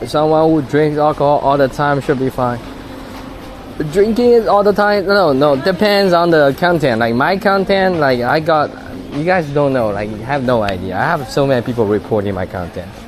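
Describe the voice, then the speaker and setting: A man with a Chinese accent speaks at a fairly high pitch and a moderate pace. His pitch swings very widely over noticeable background noise. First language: Taizhou dialect (Wu Chinese). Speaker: live streamer. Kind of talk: casual live-stream chat.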